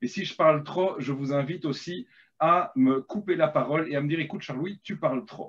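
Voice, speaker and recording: Speaking with a slight Belgian accent, a man has a high pitch. His pace is moderate, and his pitch varies in an ordinary way. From Belgium. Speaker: agile coach and storyteller. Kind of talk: workshop storytelling. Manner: hesitant, many fillers.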